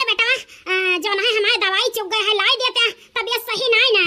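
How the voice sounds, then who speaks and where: In a cartoonish character voice, a woman squeaks at an extremely high pitch and a very fast pace, with fairly even intonation. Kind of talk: comic cartoon dub.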